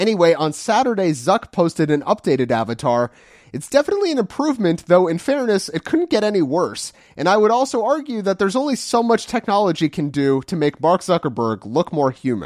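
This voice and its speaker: A man's high-pitched voice with very wide pitch swings at a fairly quick pace. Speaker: podcast host. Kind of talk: news reading. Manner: playful.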